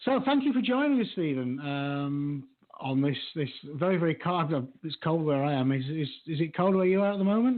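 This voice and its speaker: Moderate pace with a Yorkshire accent. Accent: British Yorkshire. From England, Yorkshire.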